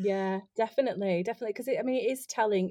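A woman with a Yorkshire accent speaks at a very fast pace, her dark, mellow tone showing ordinary pitch variation. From West Yorkshire, northern England. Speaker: tarot card reader and stage actor. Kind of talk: casual chat.

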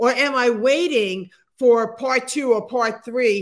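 A woman speaks in a fairly high voice. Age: 60s. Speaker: motivational speaker and author. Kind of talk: interview.

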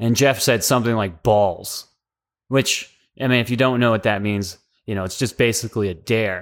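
In an ordinary speaking voice of medium pitch, a man talks at a moderate pace with fairly even intonation on a very clean recording with a silent background. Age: 30s. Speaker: army veteran and history student. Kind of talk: casual chat.

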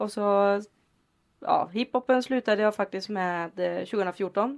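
A woman with an unremarkable speaking voice talks at medium pitch, with ordinary pitch variation. The background is quiet. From Sweden, Lidköping. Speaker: hip-hop dancer and teacher. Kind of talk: casual chat.

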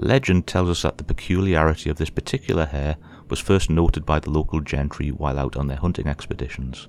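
Very deep and low with vocal fry, a man's voice moves at a very fast pace with ordinary pitch variation. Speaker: podcast host. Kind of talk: scripted narration of ghost folklore, horror-tinged storytelling. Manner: measured, even storyteller pacing, formal and spooky.

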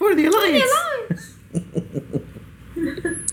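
Squeaky and extremely high in pitch, a put-on character voice speaks at a very slow pace. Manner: rallying, shouted.

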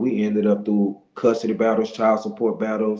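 A man with a Louisiana accent speaks at a fairly quick pace in a fairly low pitch with monotone, flat intonation. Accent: Louisiana Southern US. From Monroe, Louisiana (US South). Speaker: business owner and motivational speaker. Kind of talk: interview testimony.

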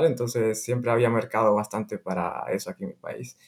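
The pace is very fast. Intonation stays fairly even throughout. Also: man. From Honduras. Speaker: online seller and biomedical engineer. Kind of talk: interview.

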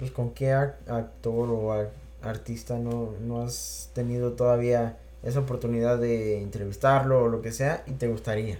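A normal speaking voice at a fairly slow pace. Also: man. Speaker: podcast host. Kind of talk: casual chat.

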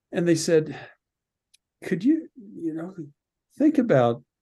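The man's tone is dark and mellow, somewhat breathy. He talks at a fairly slow pace with lively intonation. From Canada, Alberta (Red Deer). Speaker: radio and media producer. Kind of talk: casual chat.

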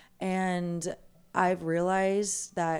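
Recorded very cleanly against a silent background, a woman speaks at a fairly low pitch. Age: 20s. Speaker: yoga teacher and life coach. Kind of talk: casual chat.

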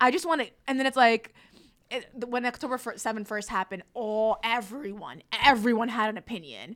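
On a very clean recording with a silent background, a woman with an American accent speaks fairly quickly in an unremarkable speaking voice, fairly high in pitch with ordinary pitch variation. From New Jersey, North Bergen. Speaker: comedian and activist. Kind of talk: casual chat.

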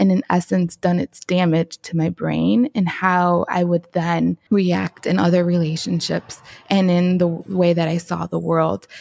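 Here a woman speaks with a Chicago accent in a dark, mellow tone at a fairly low pitch. Her fairly slow delivery has a dry, close sound with no echo. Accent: Chicago American English. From Chicago, southwest side. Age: 30s. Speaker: photographer and entrepreneur. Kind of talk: testimony.

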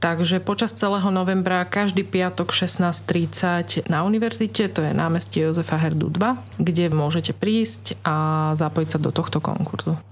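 A woman with a fairly low voice keeps her loudness very even while her pitch swings very widely. Noticeable background noise runs through the recording. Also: moderate pace. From Slovakia, Trnava. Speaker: children's choir director. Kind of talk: radio interview. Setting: radio studio.

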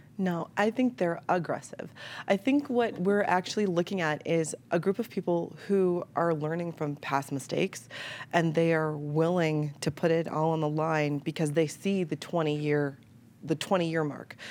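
Speaking at a moderate pace, a woman with an American accent has an unremarkable speaking voice, fairly low in pitch with ordinary variation, on a very clean recording with a silent background. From Chicago. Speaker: media entrepreneur, former TV news staffer. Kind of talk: panel discussion.

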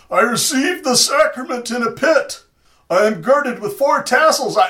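A man shouts in a put-on character voice, raised and projected, at an extremely high pitch. His pace is moderate. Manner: yelling, ominous.

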